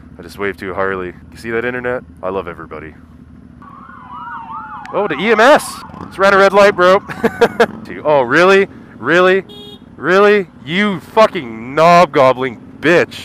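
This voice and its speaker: At a moderate pace broken by long, frequent pauses, a man with a fairly high pitch makes very wide pitch swings and big swings in loudness, in a dry sound with no echo and light background noise. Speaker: motorcycle vlogger. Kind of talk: casual motovlog commentary while riding. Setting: outdoors on a motorcycle, helmet headset. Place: motorbike. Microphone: helmet.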